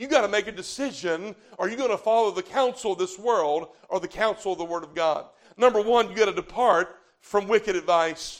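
A man with a high-pitched voice talks at a fairly quick pace in a Southern US accent. His loudness swings widely, while his pitch varies in an ordinary way. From US South. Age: 40s. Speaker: visiting revival preacher. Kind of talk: fervent old-fashioned Baptist revival sermon, calling for amens from the congregation. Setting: church revival meeting with live congregation. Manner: rising, emphatic preacher cadence, punching key words and drawing out calls for amen.

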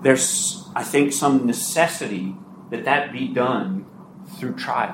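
A man's fairly high-pitched voice at a fairly slow pace, with audible room echo and noticeable background noise. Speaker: Bible teacher. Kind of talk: sermon. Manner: dramatic.

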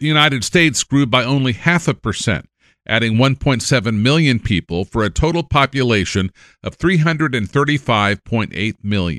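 A man talks at a fairly slow pace in a bright, sharp tone with vocal fry. The sound is dry and close with no echo, a very clean recording over a silent background. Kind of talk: formal news reading, scripted newscast delivery. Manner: formal; steady, brisk, and even-toned.

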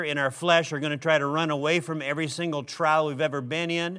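A man speaks very fast with an American accent, his fairly high pitch held in a monotone, flat line. His tone is bright and sharp, and the recording is very clean over a silent background. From Minnesota, US Midwest. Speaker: preacher. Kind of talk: sermon. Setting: church.

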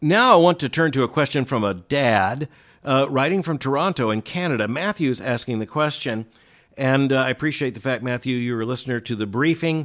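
An unremarkable speaking voice with ordinary pitch variation, moving at a fairly quick pace. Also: man. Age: 60s. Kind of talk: solo commentary and listener Q&A. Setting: remote location.

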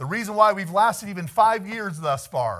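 A man talks at a moderate pace with an animated tone. His intonation is lively. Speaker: Baptist preacher. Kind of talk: sermon, preacher in full flow, fervent and rousing. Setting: church with congregation. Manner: animated, exhorting the congregation, calling for amens; conversational, occasionally laughing.

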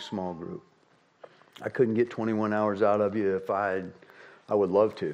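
A man with a fairly low voice speaks in fairly even intonation, an unremarkable speaking voice. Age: 60s. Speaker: pastor. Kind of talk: sermon. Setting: church.

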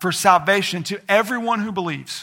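A man raises and projects a bright, sharp voice at a high pitch, with ordinary pitch variation. The recording is very clean, with a silent background. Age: 30s. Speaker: pastor. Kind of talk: sermon. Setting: church.

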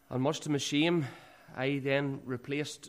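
A man with a Northern Irish accent and a flat, monotone delivery. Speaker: church speaker giving testimony. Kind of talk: testimony. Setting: church.

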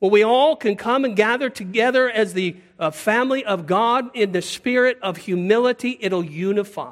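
With an American accent, a man of high pitch talks at a moderate pace with ordinary pitch variation. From US Pacific Northwest. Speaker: preacher. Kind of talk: sermon.

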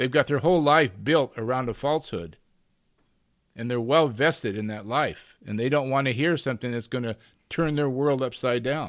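In a very clean recording with a silent background, a man with an American accent speaks at a medium pitch. His is a normal speaking voice, at a moderate pace with ordinary pitch variation. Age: 60s. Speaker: preacher. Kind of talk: sermon.

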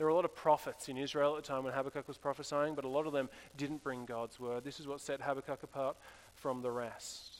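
A man speaks at a very fast pace in a fairly high pitch with monotone, flat intonation. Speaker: pastor. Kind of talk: sermon. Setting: church.

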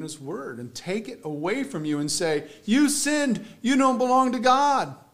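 The voice moves at a moderate pace, with very wide pitch swings. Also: man. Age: 40s. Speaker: pastor. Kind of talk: sermon. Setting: church.

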